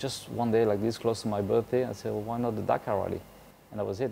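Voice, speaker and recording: A man's fairly low voice with a French accent and fairly even intonation. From France. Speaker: motorcycle rally racer. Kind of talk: interview. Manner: hesitant, many fillers.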